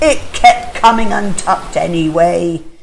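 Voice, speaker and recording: A woman puts on a character voice and speaks at a moderate pace over clear background noise. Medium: read story. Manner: cheerful, kindly.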